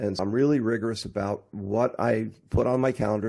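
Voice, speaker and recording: Speaking at a moderate pace, a man with a plain, everyday voice keeps a fairly low pitch with ordinary pitch variation. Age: 60s. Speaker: technology and marketing entrepreneur. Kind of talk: interview.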